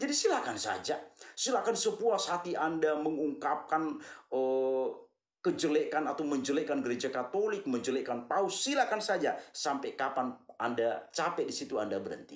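Audible room echo surrounds a man speaking at a moderate pace over a quiet background. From Flores, eastern Indonesia. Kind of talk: monologue, commentary on religion. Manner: repetitive, earnest, addresses audience warmly. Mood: critical, scolding. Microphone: phone near.

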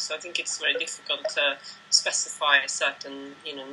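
Music plays in the background as the speaker talks with a Swedish accent. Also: woman. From Sweden. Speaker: ultramarathon runner, running coach. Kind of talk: interview answer. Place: home room. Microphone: video call.

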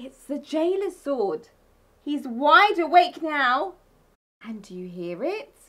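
A woman with a high pitch and a fairly bright tone speaks at a slow pace with big pitch swings.

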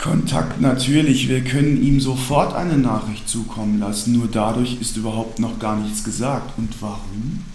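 The speech moves at a moderate pace with hardly any pauses and ordinary pitch variation. Audible room echo surrounds it. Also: man. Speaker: actor playing an official's assistant. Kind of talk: scripted film dialogue. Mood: explanatory, slightly condescending. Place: home room.

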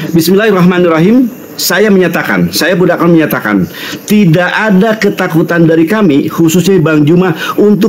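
A high-pitched man talks at a fairly quick pace with ordinary pitch variation, and noticeable background noise is present. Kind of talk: live stream discussion. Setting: online live stream.

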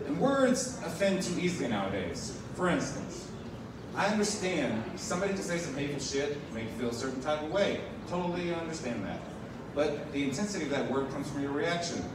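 A man talks at a fairly quick pace. Audible room echo and noticeable background noise surround his voice. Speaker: stand-up comedian. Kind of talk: stand-up comedy set. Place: bar.

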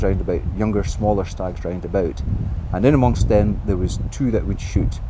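A man talks here. Noticeable background noise fills the recording. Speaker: stalking guide. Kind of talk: interview answer. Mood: calm, explanatory. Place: open country. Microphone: lapel.

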